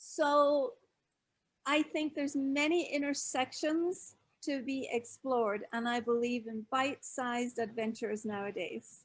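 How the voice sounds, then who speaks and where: A woman speaks in a high voice at a fairly slow pace. Her pitch varies in an ordinary way. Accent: American. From Scotland. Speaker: author and expat advisor. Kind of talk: live online interview.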